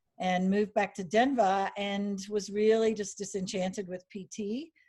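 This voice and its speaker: Against a quiet background, a woman with a slight Australian accent talks at a moderate pace with a medium pitch and fairly even intonation. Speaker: Pilates teacher. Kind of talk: interview.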